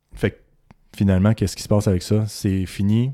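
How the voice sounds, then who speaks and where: In a Quebec accent, a man speaks with a fairly low pitch and a dark, mellow tone. The recording is very clean with a silent background and a dry, close sound with no echo. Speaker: physician podcast co-host. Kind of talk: casual chat.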